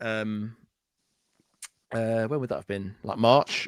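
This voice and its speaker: A man of medium pitch speaks in a North Welsh accent at a fairly slow pace, the sound dry and close with no echo. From North Wales (Anglesey). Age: 40s. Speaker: effects pedal builder. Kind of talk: casual chat.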